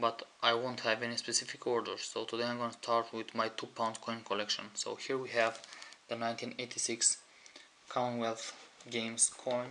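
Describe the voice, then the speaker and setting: With a non-native accent, a man speaks at a medium pitch and a moderate pace in a flat, monotone delivery, with noticeable background noise behind him. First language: not English. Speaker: coin collector. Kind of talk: show-and-tell video.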